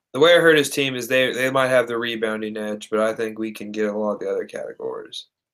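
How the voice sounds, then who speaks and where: With an American accent, a man talks very fast at a medium pitch, with hardly any pauses. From Indiana. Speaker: basketball podcast co-host. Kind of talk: casual chat. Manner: animated.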